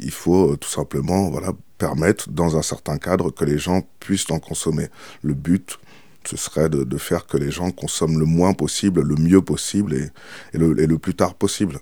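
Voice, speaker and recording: A man with a very deep, low pitch and a dark, mellow tone speaks at a moderate pace with fairly even intonation and vocal fry. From France, Île-de-France (Seine-et-Marne). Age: 30s. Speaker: former cannabis dealer. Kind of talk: testimony.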